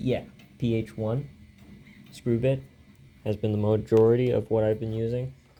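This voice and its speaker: Music plays in the background. Over it, a man speaks with fairly even intonation. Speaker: hobbyist tech reviewer. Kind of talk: casual hardware teardown narration. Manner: mumbling at times.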